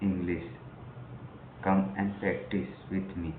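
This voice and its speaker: A man at a fairly low pitch and very slow pace, with audible room echo and noticeable background noise. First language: not English. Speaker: English learner vlogger. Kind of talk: personal vlog. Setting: recording to camera. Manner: halting.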